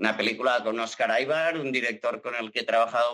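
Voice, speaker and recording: Bright and sharp in tone, a man speaks at a medium pitch with ordinary pitch variation. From Catalonia, Salt. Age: 40s. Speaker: actor. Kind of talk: casual chat.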